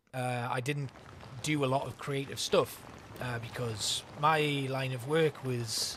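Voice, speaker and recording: Speaking with a North East England accent, a man with a medium pitch and a relaxed tone talks at a fairly slow pace in monotone, flat intonation over noticeable background noise. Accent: North East English (Geordie). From North East England, Newcastle upon Tyne. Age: 30s. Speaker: gaming streamer. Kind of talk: casual chat. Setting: live stream. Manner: relaxed, hesitant with fillers.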